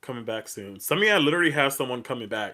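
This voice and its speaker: A man's voice has a bright, sharp tone. The recording is very clean, with a silent background. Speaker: tarot reader. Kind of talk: live stream tarot reading. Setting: live stream on social media. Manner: animated; loud.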